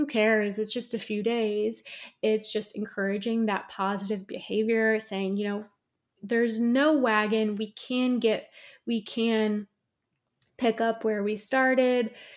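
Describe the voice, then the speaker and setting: A woman speaks at a fairly slow pace with a fairly high pitch. Her intonation is monotone and flat. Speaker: podcast host, esthetician. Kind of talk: solo educational monologue. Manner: often laughs.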